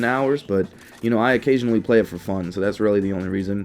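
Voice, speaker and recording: With music in the background, a man rushes along at a very fast pace. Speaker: gaming YouTuber. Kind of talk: gaming commentary. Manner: halting, stuttering with many fillers; slightly fast.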